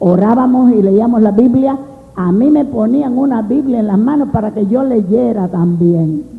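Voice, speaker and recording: A woman at fairly high pitch, fairly slow pace and ordinary pitch variation, with audible room echo. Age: 60s. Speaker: preacher. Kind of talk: sermon. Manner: animated.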